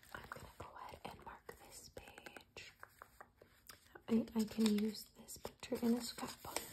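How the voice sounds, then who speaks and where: A woman whispers at a fairly slow pace, with big swings in loudness. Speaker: ASMR creator. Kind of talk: ASMR magazine reading. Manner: soft-spoken.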